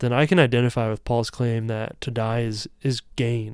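A man's ordinary speaking voice at medium pitch and moderate pace, in a very clean recording with a silent background. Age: 30s. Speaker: podcast host. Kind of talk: solo faith-based monologue.

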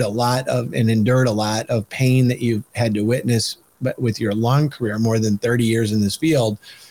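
A man talks in an American accent at a moderate pace. His pitch is medium and his intonation fairly even. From Michigan. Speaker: podcast host and policy organization leader. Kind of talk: interview. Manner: halting, many fillers and repeats.

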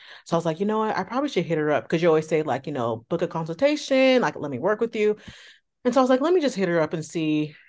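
With an American accent, a woman talks very fast in a fairly low voice, her pitch swinging very widely over a quiet background. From California, Bay Area. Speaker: former coaching client, single mother. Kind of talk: interview. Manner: casual.

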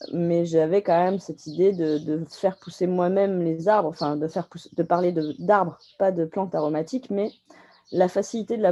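At a moderate pace, a woman speaks with fairly even intonation, her fairly low voice dark and mellow in tone. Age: 30s. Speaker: tree nursery grower. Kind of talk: interview. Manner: halting.

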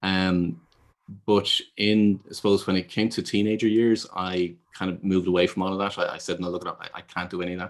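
A man speaks with a very deep, low pitch and monotone, flat intonation. The recording is very clean, with a silent background. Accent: Dublin. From Ireland. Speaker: business consultant and intuitive advisor. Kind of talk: interview. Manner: hesitant, with fillers and repeated words.

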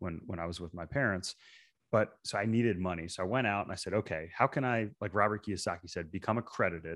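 The speech comes at a very fast pace with ordinary pitch variation on a very clean recording with a silent background. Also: man. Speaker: real estate investor. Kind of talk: casual chat.

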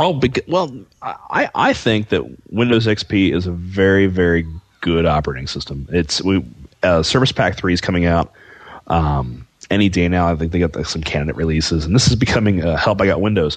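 Very deep and low in pitch, a man's voice moves with lively intonation. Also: fairly quick pace. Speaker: podcast co-host. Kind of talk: casual chat.

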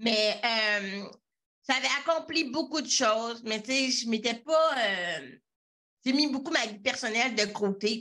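With a bright, sharp tone, a woman talks at a very slow pace, using long, frequent pauses and ordinary pitch variation. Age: 30s. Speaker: web visibility entrepreneur. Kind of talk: interview. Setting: video call.

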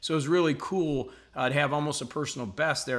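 A man's fairly high voice has a bright, sharp, energetic tone and lively intonation at a fairly quick pace. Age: 50s. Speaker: motivational coach and podcast host. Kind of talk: motivational monologue. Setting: home video recording at a lake house.

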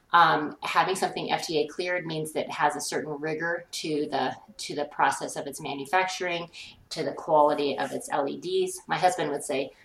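Over noticeable background noise, a woman with an American accent speaks at a moderate pace in a very deep, low pitch, her intonation fairly even. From Colorado, US. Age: 50s. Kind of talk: interview.

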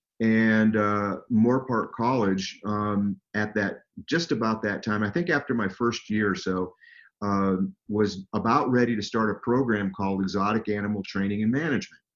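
An ordinary speaking voice, a man at a fairly low pitch and moderate pace with an American accent and ordinary pitch variation. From Southern California. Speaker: animal trainer and falconer. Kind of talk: interview, storytelling.

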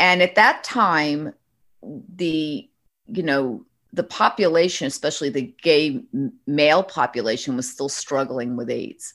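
In a slight New York accent, a woman speaks with a very deep, low pitch and very wide pitch swings. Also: fairly slow pace. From New York, Westchester County. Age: 60s. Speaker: bridal shop owner. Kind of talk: interview. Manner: animated.

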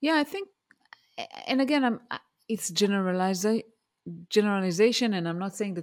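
A speaker with an Israeli accent talks at a very fast pace with lively intonation on a very clean recording with a silent background. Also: woman. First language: Hebrew. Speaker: career coach and mentor, former engineering manager. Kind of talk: interview.

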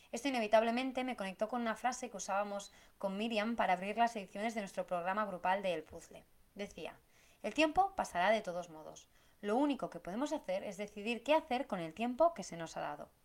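A woman talks at a fairly quick pace in an ordinary speaking voice, fairly high in pitch with lively intonation. Her loudness swings widely. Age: 30s. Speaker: podcast host, business planning coach. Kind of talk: solo podcast monologue.

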